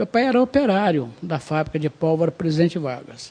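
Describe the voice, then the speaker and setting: A man speaks at a high pitch. His voice makes very wide pitch swings. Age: 60s. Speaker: city councillor, retired army officer. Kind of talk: TV interview.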